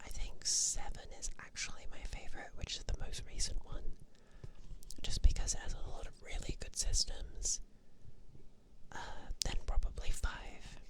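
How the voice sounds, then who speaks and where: A woman whispers in a relaxed, gentle tone, with big swings in loudness and long, frequent pauses. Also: moderate pace. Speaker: ASMR vtuber / streamer. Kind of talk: ASMR sleep talk about games. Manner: soft-spoken, relaxed, gentle.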